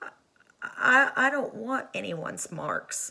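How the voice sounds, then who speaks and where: Putting on a character voice, a woman speaks in a timid tone at a fairly slow pace. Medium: read story. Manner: stammering, timid.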